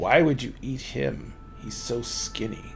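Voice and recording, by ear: A man's put-on character voice, gravelly and rumbling, at a medium pitch and a fairly slow pace, with music in the background.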